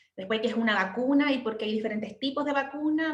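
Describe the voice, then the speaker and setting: At a fairly quick pace, a woman speaks at a high pitch with ordinary pitch variation amid audible room echo. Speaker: midwife. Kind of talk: lecture. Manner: fast.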